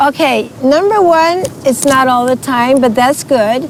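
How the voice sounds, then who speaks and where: Over a noticeable level of background noise, this woman's pitch varies in an ordinary way. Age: 70s. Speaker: interview guest. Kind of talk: casual interview chat.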